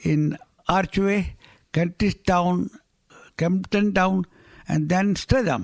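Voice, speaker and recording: A man talks at a very slow pace in a high pitch, the sound dry and close with no echo. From India (Gujarat). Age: 80s+. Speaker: newspaper publisher. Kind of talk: radio interview.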